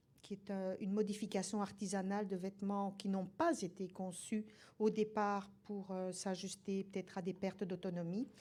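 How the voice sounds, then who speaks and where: At a moderate pace, a woman speaks in a dark, mellow tone at a medium pitch, her intonation monotone and flat. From Belgium. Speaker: nursing professor. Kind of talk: lecture.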